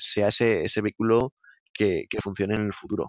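This man's voice sits fairly low in pitch. He talks at a moderate pace. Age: 30s. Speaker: operations director of an EV charging installer. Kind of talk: interview. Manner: hesitant, with fillers and repetitions.

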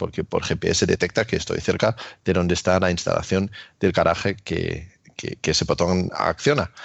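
A man with a very deep, low pitch and a non-native accent, at a moderate pace. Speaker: YouTuber, electric car owner. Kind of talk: casual chat.

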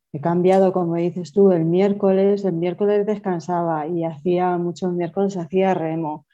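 A woman talks at a fairly slow pace with a fairly low pitch and ordinary pitch variation. Her tone is dark and mellow, and the background is quiet. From Toledo, Spain. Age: 40s. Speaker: amateur runner. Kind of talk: casual interview chat.

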